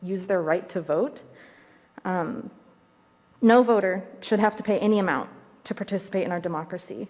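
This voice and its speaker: A woman speaks with a Midwestern American accent. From Ohio, Zanesville. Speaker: community organizer and state rep candidate. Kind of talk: legislative testimony. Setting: committee hearing room, wearing a mask. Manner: formal.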